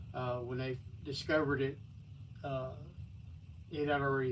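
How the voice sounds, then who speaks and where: Somewhat breathy and fairly slow, the voice comes in a Texan accent with audible room echo. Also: man. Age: 60s. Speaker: livestreamer. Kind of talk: personal storytelling on a livestream. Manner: halting.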